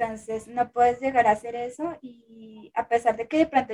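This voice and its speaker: A woman's high-pitched voice with a dark, mellow tone at a moderate pace. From Colombia. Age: 20s. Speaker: content creator. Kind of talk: casual chat.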